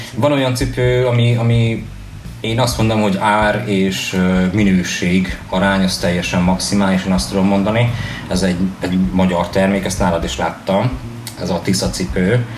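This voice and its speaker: Audible room echo and noticeable background noise surround a man's voice. He speaks at a moderate pace with a fairly low pitch. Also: ordinary pitch variation. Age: 30s. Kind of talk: radio interview.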